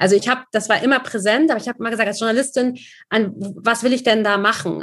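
With an ordinary speaking voice, a woman talks fairly quickly at a fairly high pitch. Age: 30s. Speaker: journalist. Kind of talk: casual chat.

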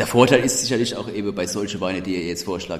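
A man talks at a very fast pace with fairly even intonation. His pitch is fairly low, and there is noticeable background noise. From Odenwald, Germany. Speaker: podcast host. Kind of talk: casual chat.

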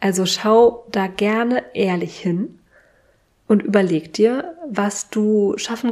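Fairly high in pitch, a woman's voice carries a dark, mellow tone and ordinary pitch variation. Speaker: podcast host and business coach. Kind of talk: solo podcast monologue. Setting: sitting at home with candles and tea. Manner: unscripted, conversational.

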